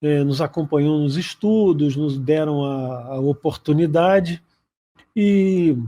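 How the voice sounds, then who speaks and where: A man speaks very slowly in a fairly high voice with a dark, mellow tone and ordinary pitch variation. The background is quiet. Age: 60s. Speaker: career program co-host. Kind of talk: casual talk show chat. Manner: halting.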